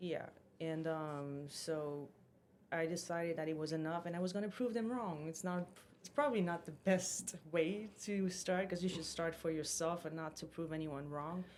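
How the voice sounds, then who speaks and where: Speaking with a strong non-native accent, a woman has a fairly low pitch. Her pitch varies in an ordinary way. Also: moderate pace. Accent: strong foreign. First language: French or Portuguese. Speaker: fitness influencer and podcast co-host. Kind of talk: casual chat.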